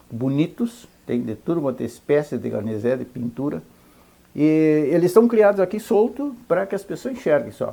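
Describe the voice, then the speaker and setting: A man with a dark, mellow tone and fairly high pitch speaks at a moderate pace, his pitch swinging very widely. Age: 70s. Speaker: ranch owner. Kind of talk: interview. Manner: halting.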